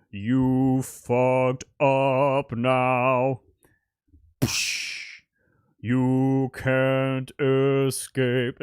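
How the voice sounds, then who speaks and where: In a put-on character voice at a low-to-middle pitch, the speaker goes at a very slow pace with monotone, flat intonation and long, frequent pauses. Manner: menacing, threatening.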